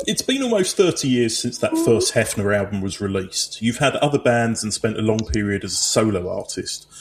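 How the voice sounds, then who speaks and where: Fairly quick, hardly pausing speech from a man with an Essex accent, over noticeable background noise. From Essex, England. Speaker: podcast host and musician. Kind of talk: interview.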